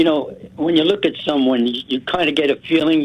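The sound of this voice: A man talks at a fairly quick pace in a fairly high voice with a slightly husky edge and ordinary pitch variation.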